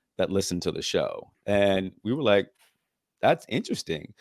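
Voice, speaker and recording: A man with an unremarkable speaking voice talks at a fairly quick pace and a fairly low pitch. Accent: American. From Norfolk, Virginia. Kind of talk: podcast interview.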